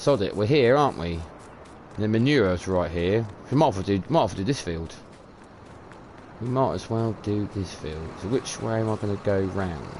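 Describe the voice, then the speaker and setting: Speaking in a British accent at a moderate pace, a man with a fairly low pitch uses lively intonation and takes long, frequent pauses. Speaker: video game streamer. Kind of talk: live stream commentary. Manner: mumbling, repetitive; casual, rambling.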